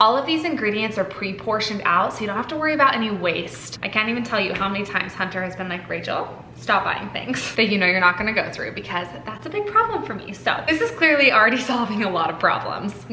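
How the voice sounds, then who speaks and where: Speaking at a very fast pace with hardly any pauses, a woman is heard over light background noise and audible room echo. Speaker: lifestyle vlogger. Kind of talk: sponsored ad read, casual vlog chat. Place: kitchen. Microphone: camera far.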